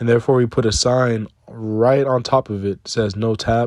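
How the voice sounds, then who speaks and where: Monotone, flat intonation marks a man speaking at a moderate pace and a fairly low pitch. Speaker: self-improvement video host. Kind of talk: casual monologue. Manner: conversational, repetitive fillers.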